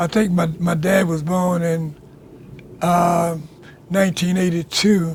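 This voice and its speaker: A man speaks very slowly in a high pitch with monotone, flat intonation. Long, frequent pauses break up his speech. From US South (rural Alabama). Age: 90s. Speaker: oral history interviewee. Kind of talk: oral history interview. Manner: halting, repetitive.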